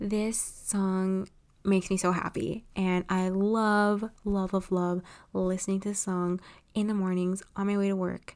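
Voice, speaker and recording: On a very clean recording with a silent background, a woman with an American accent speaks at a fairly slow pace in a medium pitch, her intonation monotone and flat. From Los Angeles, California. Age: 20s. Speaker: podcast host and writer. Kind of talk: solo monologue podcast.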